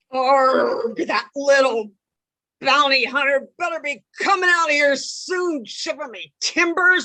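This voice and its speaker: Someone uses a high-pitched put-on character voice at a fairly slow pace. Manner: comedic, exaggerated.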